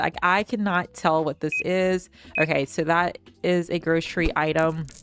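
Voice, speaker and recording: A woman mumbles at a fairly slow pace in a fairly low pitch. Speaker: gaming youtuber. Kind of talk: gameplay commentary. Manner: mumbling.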